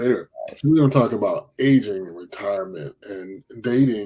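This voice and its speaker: A man speaks in a plain, everyday voice at a fairly quick pace. His pitch varies in an ordinary way. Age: 40s. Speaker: live stream talk show host. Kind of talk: casual chat. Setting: live stream.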